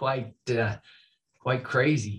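A man with an American accent speaks in a somewhat breathy voice with ordinary pitch variation against a quiet background. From northern Utah, Oakley; Utah. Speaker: high school athletic director; podcast guest. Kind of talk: interview. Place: office. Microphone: video call.

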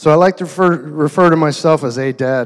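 A man at a moderate pace, with ordinary pitch variation, in a quiet background. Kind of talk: wedding toast speech. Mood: warm, sentimental. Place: hall. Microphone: handheld.

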